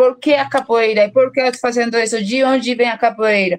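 With a Colombian accent, a woman speaks with ordinary pitch variation. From Colombia, Bogotá. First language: Spanish (speaking Portuguese). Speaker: researcher and teacher. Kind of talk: interview. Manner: halting, many fillers.

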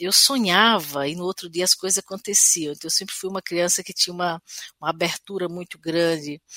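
Loudness swings widely while the speech keeps a moderate pace. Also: woman. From Brazil, Sertão of Paraíba. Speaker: singer-songwriter. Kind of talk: interview. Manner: hesitant, with frequent repetitions.

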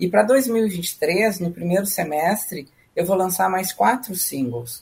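A woman talks at a fairly slow pace with vocal fry. Her pitch sits in the medium range but swings very widely. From southern Brazil, Rio Grande do Sul. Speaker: musician and music educator. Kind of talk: interview. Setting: video call.

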